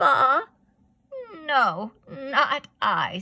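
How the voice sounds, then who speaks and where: The speaker is a woman using a put-on character voice. She pitches it high. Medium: read story. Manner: curt, bleating.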